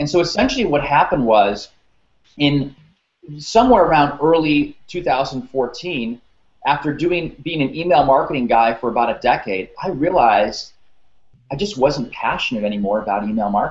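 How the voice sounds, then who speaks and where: This is a normal speaking voice from a man with a fairly high pitch. He moves at a moderate pace with lively intonation. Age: 30s. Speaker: career coach. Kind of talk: interview. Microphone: webcam.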